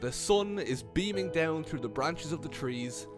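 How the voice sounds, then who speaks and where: A man speaking at a fairly slow pace over music in the background. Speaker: comedy YouTuber. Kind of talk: comedic narration to camera.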